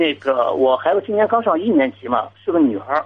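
A man talks at a very fast pace. His high pitch moves in very wide swings. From Jinan, Shandong, China. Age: 30s. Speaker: caller. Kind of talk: call-in advice talk. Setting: phone call.

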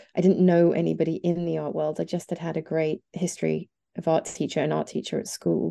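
A woman with an East Midlands accent at a fairly quick pace over a quiet background. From England, near Nottingham. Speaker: journalist and podcaster. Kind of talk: interview conversation.

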